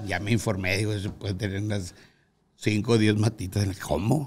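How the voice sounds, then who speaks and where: A somewhat breathy man at a moderate pace, with fairly even intonation and light background noise. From Guadalupe, Nuevo León, Mexico; Nuevo León, Mexico. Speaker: musician; podcast guest. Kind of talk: interview. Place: studio. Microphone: studio mic.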